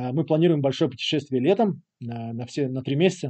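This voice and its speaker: Fairly high male speech, its pitch varying in an ordinary way. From Latvia, Riga. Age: 30s. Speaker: early-retired investor. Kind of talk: interview. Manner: hesitant with frequent fillers.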